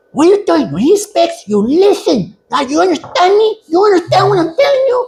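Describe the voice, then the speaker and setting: In a put-on character voice with an extremely high pitch, the speaker talks fairly quickly in an angry tone. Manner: angry, scolding.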